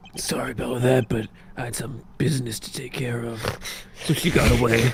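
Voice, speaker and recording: Over clear background noise, a man puts on a character voice that is raspy and medium-pitched. He speaks at a moderate pace. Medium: fan dub. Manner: dry, deadpan; stammering.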